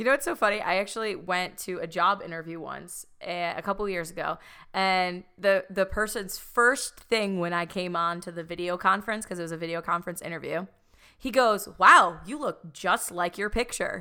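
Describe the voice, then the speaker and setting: An American accent at a moderate pace, with a bright, sharp tone, ordinary pitch variation and a very clean recording with a silent background. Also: woman, medium pitch for a woman. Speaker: podcast host. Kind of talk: casual chat.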